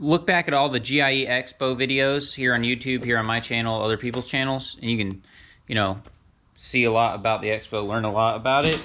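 With a bright, sharp tone, a man speaks at a fairly quick pace and medium pitch, using ordinary pitch variation.

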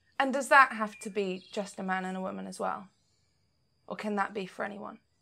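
A woman's raspy, put-on character voice at a medium pitch, fairly quick, with ordinary pitch variation and big swings in loudness. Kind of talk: Regency period role-play. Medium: actual play. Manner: hesitant, halting, earnest.

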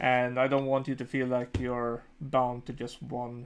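At a slow pace, a man talks in a medium pitch with monotone, flat intonation.

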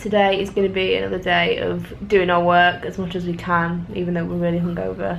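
Over light background noise, a woman sounds tired as she talks at a fairly quick pace with hardly any pauses. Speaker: vlogger. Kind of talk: casual vlog chat. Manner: tired, sluggish hungover speech. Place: home room. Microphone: phone near.

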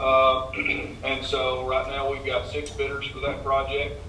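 A man is speaking with audible room echo. Light background noise sits behind him. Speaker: engineer. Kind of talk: project briefing. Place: hall.

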